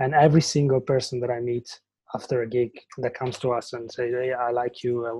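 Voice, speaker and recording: A man's medium-pitched, somewhat breathy voice with a dark, mellow tone and an Italian accent, at a fairly quick pace. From Italy. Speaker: band singer and guitarist. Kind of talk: casual interview. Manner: halting.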